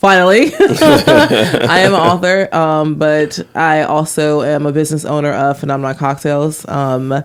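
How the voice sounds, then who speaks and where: A woman speaks with a very deep, low pitch. Noticeable background noise can be heard. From Washington DC area. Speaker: author and business owner. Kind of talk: podcast interview.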